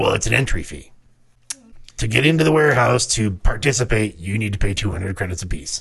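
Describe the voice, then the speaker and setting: Doing a raspy, put-on character voice, a man talks at a fairly quick pace with a fairly low pitch and very wide pitch swings. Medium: actual play. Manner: polite, salesman-like, unbending about money.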